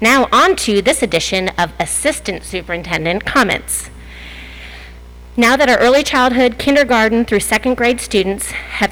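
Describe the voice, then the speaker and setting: Noticeable background noise is present. A woman speaks through it at a moderate pace. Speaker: school district administrator. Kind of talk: prepared statement at board meeting. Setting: public board meeting. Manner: loud.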